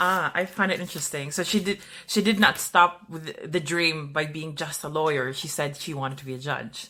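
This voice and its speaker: A woman with a Philippine accent speaks at a moderate pace with hardly any pauses, her bright, sharp voice very deep and low in pitch and showing big swings in loudness. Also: ordinary pitch variation. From Philippines, Bisaya-speaking region. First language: Bisaya. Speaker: podcast host. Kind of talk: interview.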